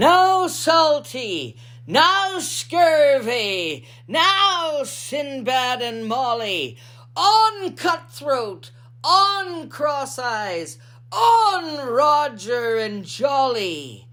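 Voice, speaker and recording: Over light background noise, a put-on character voice moves very slowly, with very wide pitch swings. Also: woman, high pitch for a woman. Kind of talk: children's picture book reading.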